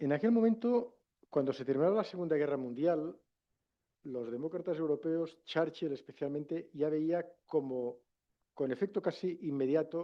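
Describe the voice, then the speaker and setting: In a Catalan accent, a man with a fairly high pitch speaks at a moderate pace with ordinary pitch variation. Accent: Catalan-accented Castilian Spanish. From Catalonia, Spain. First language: Catalan (speaking Spanish). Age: 50s. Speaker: former politician and international relations professor. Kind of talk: lecture.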